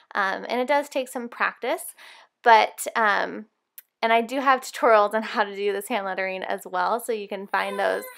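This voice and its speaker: In a very clean recording with a silent background, a woman with a fairly high pitch and a plain, everyday voice talks at a moderate pace with ordinary pitch variation. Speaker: Bible journaling artist and tutorial creator. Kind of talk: tutorial. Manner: casual with frequent fillers.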